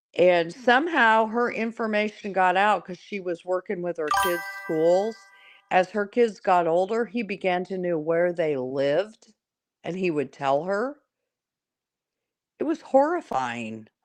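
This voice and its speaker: A woman's medium-pitched voice at a fairly slow pace, with lively intonation and music in the background. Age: 60s. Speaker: caller on a live stream. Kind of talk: casual chat.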